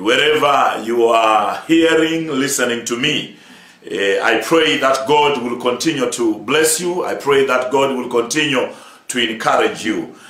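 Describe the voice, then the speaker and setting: A man at a fairly slow pace, ordinary pitch variation, and audible room echo. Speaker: church overseer preaching. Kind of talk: sermon.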